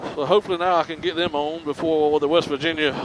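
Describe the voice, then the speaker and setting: A man's fairly quick speech with a slight Southern US accent, fairly even in intonation, over noticeable background noise. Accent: slight Southern twang. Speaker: motorcycle vlogger. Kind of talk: casual vlog narration. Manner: halting, many fillers.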